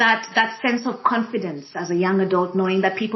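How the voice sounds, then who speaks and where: A woman speaks with an East African accent. She moves at a fairly quick pace. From Kenya. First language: Swahili. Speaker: diversity and inclusion practitioner. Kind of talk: panel conversation. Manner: hesitant, many fillers.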